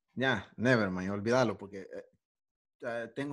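A man speaks with a Salvadoran accent. His pace is moderate. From El Salvador. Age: young. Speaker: aspiring musician. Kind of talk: casual chat. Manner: animated.

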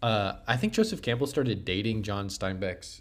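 With a normal speaking voice, a man holds a medium pitch and a moderate pace, his pitch varying in an ordinary way. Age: 20s. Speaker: podcast co-host. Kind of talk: casual chat.

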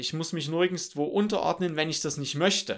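A man's fairly high voice with ordinary pitch variation and a bright, sharp tone, on a very clean recording with a silent background. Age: 20s. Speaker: podcast host. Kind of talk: solo podcast monologue. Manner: many filler sounds, somewhat halting.

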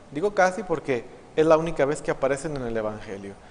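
A man's fairly high-pitched voice moves with lively intonation. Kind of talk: homily.

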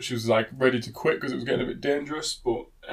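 This unforced reading voice moves with ordinary pitch variation.

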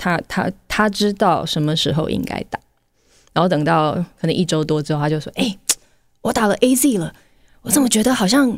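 An ordinary speaking voice from a woman, at a fairly quick pace with lively intonation. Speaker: podcast host. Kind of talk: solo podcast monologue.

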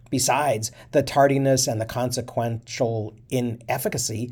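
A man talks at medium pitch in a dark, mellow tone that is somewhat breathy. The recording is very clean, with a silent background. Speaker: history podcast narrator reading a historical speech. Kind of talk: reading aloud a 19th-century congressional speech, with short commentary. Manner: formal, measured oratorical delivery.

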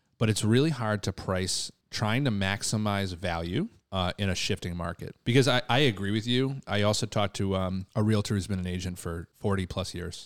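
A man's normal speaking voice, fairly low in pitch with ordinary pitch variation, at a moderate pace with hardly any pauses, dry and close with no echo, in a very clean recording with a silent background. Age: 30s. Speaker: real estate podcast host. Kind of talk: casual chat.

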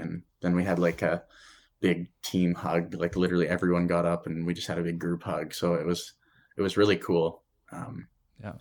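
In a Canadian prairie accent, the speaker delivers the words in a flat monotone on a very clean recording with a silent background. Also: man. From Saskatchewan, Canada. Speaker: former college hockey player. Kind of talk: casual interview.

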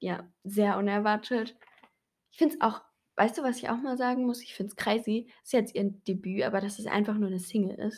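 Speaking at a fairly quick pace, a woman with a fairly high, somewhat breathy voice shows big swings in loudness. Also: ordinary pitch variation. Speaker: podcast co-host. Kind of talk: casual chat.

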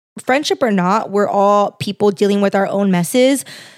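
In a very clean recording with a silent background and a dry, close sound with no echo, a woman of medium pitch speaks with a Californian accent. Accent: Californian, valley girl style. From San Fernando Valley, Los Angeles. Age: 20s. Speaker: podcast host. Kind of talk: solo podcast monologue. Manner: casual, filler-heavy (frequent like, um).

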